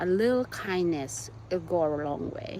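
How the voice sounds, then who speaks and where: A woman in a Visayan Filipino accent talks at medium pitch with ordinary pitch variation. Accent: Filipino (Cebuano) English. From Philippines (Cebu, Visayas). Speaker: YouTuber. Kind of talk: casual chat.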